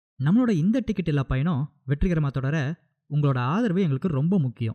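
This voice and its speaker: With a dark, mellow tone and fairly high pitch, a man speaks with lively intonation and very even loudness in a dry, close sound with no echo. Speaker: movie recap narrator. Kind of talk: channel trailer, casual talk to viewers. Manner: upbeat.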